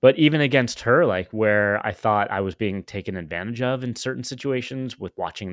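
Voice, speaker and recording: Delivered in an American accent with a plain, everyday voice, the speech moves at a fairly quick pace with ordinary pitch variation, on a very clean recording with a silent background and a dry, close sound with no echo. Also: man. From US West Coast. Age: 50s. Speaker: podcaster and tech entrepreneur. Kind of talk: personal story interview.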